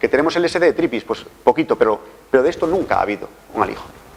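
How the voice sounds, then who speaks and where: Over noticeable background noise, a man with a fairly high pitch talks at a very fast pace in a Galician accent. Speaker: forensic toxicologist. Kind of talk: lecture. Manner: halting.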